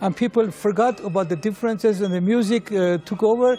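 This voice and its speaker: Music plays in the background as a man speaks at a fairly quick pace. His pitch is high and his intonation fairly even. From Iran. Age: 70s. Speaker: orchestra conductor and composer. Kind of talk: interview. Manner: halting.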